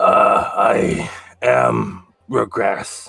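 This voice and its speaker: In a put-on character voice, a man speaks with a raspy sound. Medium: actual play.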